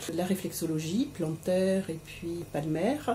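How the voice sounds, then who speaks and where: A woman talks at a very slow pace with fairly even intonation. Her pitch is fairly low. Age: 60s. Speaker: cancer patient. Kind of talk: testimony. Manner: halting.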